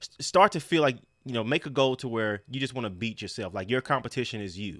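A man in a plain, everyday voice, medium in pitch with ordinary pitch variation, on a very clean recording with a silent background. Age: 30s. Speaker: fitness podcast co-host and trainer. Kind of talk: casual chat.

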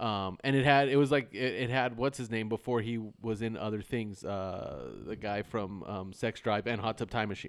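At a moderate pace with hardly any pauses, a man talks at a medium pitch in an unremarkable speaking voice, in a very clean recording with a silent background. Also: ordinary pitch variation. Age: 40s. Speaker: podcast host. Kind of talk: casual chat.

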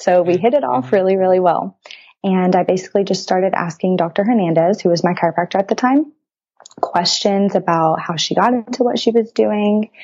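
Speaking at a fairly quick pace, a woman with an ordinary speaking voice keeps a medium pitch, ordinary pitch variation and very even loudness. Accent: American. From Texas. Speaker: pre-chiropractic student. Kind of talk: interview.

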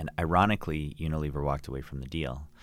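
A man's very deep, low voice at a fairly quick pace with fairly even intonation. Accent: Canadian. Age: 30s. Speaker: entrepreneur. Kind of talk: interview.

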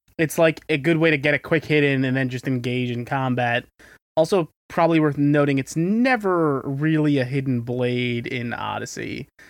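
A normal speaking voice from a man, fairly high in pitch, with ordinary pitch variation at a moderate speed. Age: 20s. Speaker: podcast co-host. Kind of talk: casual chat.

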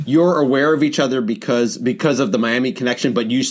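Ordinary pitch variation in a man's normal speaking voice. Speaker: podcast host. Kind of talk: casual interview. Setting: video call.

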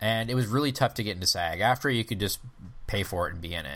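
A man with an American accent talks in a plain, everyday voice at a fairly low pitch with ordinary pitch variation. The recording is very clean, with a silent background. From Michigan, US Midwest. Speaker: comedy festival founder and podcaster. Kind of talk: casual interview chat.

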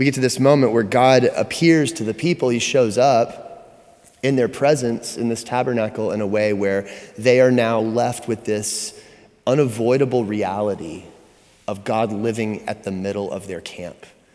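Noticeable background noise runs under this recording. A man speaks at medium pitch and a moderate pace, with ordinary pitch variation. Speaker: pastor. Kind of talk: sermon.

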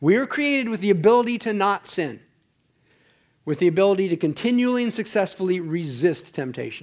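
Someone speaks at a fairly quick pace on a very clean recording with a silent background. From Ontario, Canada. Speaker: church teacher. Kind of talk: lecture. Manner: halting.

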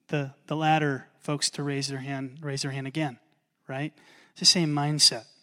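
A man speaks at a fairly high pitch in a bright, sharp tone, with a monotone, flat intonation. His loudness swings widely, and the recording is very clean with a silent background. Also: moderate pace. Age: 40s. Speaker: pastor. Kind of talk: sermon. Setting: church.

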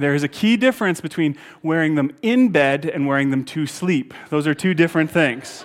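With hardly any pauses, a man talks at a moderate pace in a fairly high pitch, his intonation lively. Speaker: pastor. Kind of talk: sermon. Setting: church with live audience. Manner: loud; animated.

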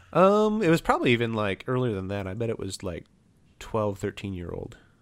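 On a very clean recording with a silent background, a man speaks in a plain, everyday voice of medium pitch at a fairly quick pace. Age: 30s. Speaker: pencil blogger and podcaster. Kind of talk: casual chat.

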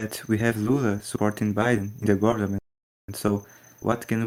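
Speaking in a non-native accent, a man uses monotone, flat intonation at a moderate pace and a fairly low pitch. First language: Portuguese. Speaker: podcast host. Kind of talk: interview.

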